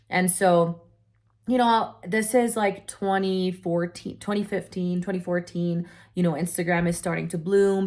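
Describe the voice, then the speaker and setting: A woman's fairly low pitch with fairly even intonation on a very clean recording with a silent background. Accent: non-native. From Europe. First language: not English. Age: 20s. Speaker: online entrepreneur. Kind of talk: personal story. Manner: casual, filler-heavy.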